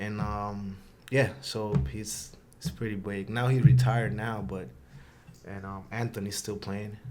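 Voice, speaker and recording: Speaking with a Spanish accent, a man uses a fairly low pitch with ordinary pitch variation and big swings in loudness, and room echo is audible. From Honduras, then the Bronx, New York from age eight. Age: 20s. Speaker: soccer player. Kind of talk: podcast interview. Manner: halting, many fillers.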